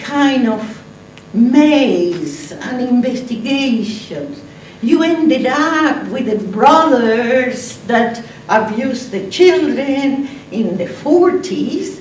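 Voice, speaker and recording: With a non-native accent, a high-pitched woman speaks very slowly with lively intonation amid noticeable background noise and audible room echo. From Argentina. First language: Spanish. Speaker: conference speaker, atheist activist. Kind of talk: conference talk. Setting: stage with audience. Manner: animated.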